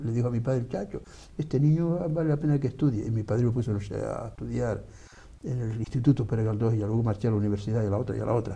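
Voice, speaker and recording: A man speaks very fast at a medium pitch, with ordinary pitch variation. His tone is dark, mellow and somewhat breathy. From Canary Islands (Gran Canaria). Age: 70s. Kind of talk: debate interview. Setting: TV studio. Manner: animated.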